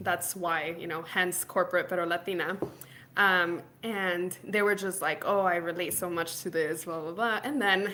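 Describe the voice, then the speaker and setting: This woman has an American accent, a fairly low pitch, a bright, sharp tone, and fairly even intonation. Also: moderate pace. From Laredo, Texas. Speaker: founder of a professional community. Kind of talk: interview answer. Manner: casual, chatty.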